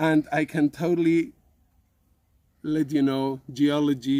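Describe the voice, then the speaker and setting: A man with a Spanish accent and a dark, mellow tone speaks at a fairly high pitch in a very clean recording with a silent background. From Spain. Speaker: science communicator and teacher. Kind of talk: educational presentation for children. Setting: outdoors in a garden.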